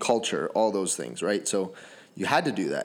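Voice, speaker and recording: A man with a Canadian accent, a plain, everyday voice, fairly low pitch and moderate pace, on a very clean recording with a silent background. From Canada (Sarnia, Ontario), Native. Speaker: podcast host. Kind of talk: casual chat.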